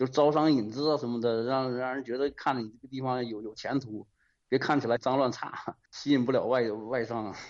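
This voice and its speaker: At a fairly quick pace, a man talks with medium pitch and fairly even intonation. His loudness swings widely. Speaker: radio caller. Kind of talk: phone-in commentary. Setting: phone call. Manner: hesitant, frequent fillers.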